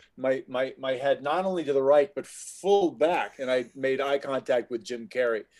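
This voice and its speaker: Medium pitch, moderate pace and ordinary pitch variation in a man's normal speaking voice. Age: 50s. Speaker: actor and voice actor. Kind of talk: casual chat.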